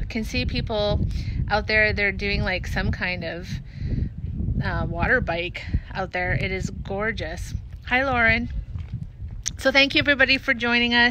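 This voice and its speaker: Noticeable background noise sits under a dry, echo-free recording of a woman speaking at a fairly slow pace, with ordinary pitch variation and long, frequent pauses. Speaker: resort host. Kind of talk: casual livestream chat. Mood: warm, upbeat. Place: waterside. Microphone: phone near.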